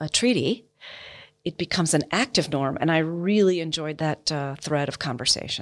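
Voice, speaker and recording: A woman with an American accent talks at a fairly quick pace in a normal speaking voice, fairly low in pitch with ordinary pitch variation. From United States. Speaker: military officer. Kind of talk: interview.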